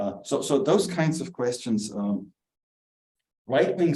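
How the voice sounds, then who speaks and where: A man with a German accent, dark and mellow in tone, lively in intonation, at a moderate pace amid audible room echo. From southern Germany. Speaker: theologian and author. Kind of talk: lecture. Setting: church hall with small audience, also streamed. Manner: halting, many fillers.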